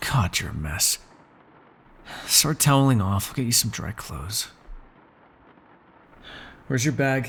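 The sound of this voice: At a slow pace with long, frequent pauses, a man puts on a character voice of medium pitch, husky and rough-edged yet fairly bright, swinging widely in pitch.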